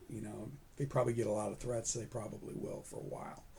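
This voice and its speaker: With an American accent, this man's voice carries vocal fry and ordinary pitch variation. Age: 60s. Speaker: retired federal agent, career advice YouTuber. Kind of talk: informational talk to camera. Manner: casual, conversational with fillers.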